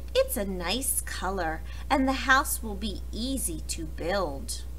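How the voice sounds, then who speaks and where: Someone does a put-on character voice at a fairly slow pace against clear background noise. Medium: read story.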